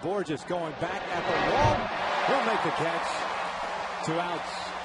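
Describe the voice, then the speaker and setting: Through noticeable background noise and audible room echo, a man with an American accent speaks with ordinary pitch variation. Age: 40s. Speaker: baseball play-by-play announcer. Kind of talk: live commentary.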